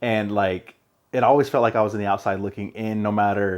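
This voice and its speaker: This man has a plain, everyday voice at a fairly low pitch. He speaks at a moderate pace. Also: quiet background. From Arizona (East Mesa), Mexican-American. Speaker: podcast host. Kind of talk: casual chat.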